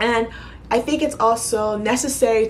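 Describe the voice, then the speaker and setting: A woman speaks with an American accent and ordinary pitch variation. Audible room echo and noticeable background noise fill the recording. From New York City (Bronx, Queens). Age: 30s. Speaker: YouTuber. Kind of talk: casual Q&A vlog.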